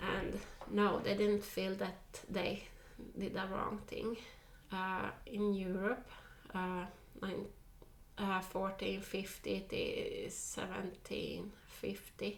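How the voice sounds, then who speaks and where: With a Finland Swedish accent, a woman speaks at a very slow pace with long, frequent pauses against noticeable background noise. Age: 40s. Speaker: tarot reader. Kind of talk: casual talk to camera.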